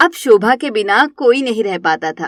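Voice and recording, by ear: At a moderate pace, a woman speaks with lively intonation and a fairly high pitch.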